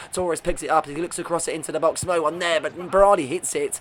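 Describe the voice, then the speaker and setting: A man rattles along at a very fast pace, with noticeable background noise behind him. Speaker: gaming video creator. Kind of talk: gameplay commentary. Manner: animated.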